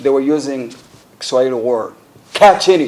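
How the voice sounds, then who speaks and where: His pace is moderate and his pitch moves in an ordinary way. The speaker is a man with an American accent. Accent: American-sounding. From Uganda. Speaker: member of parliament. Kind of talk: public address recounting events.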